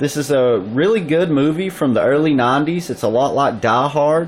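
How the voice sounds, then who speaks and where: Someone with a Southern US accent speaks at a fairly slow pace against noticeable background noise. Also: man. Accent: Southern US (Georgia). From US South, Georgia. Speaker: YouTuber showing collectibles and pickups. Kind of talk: casual video review. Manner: animated.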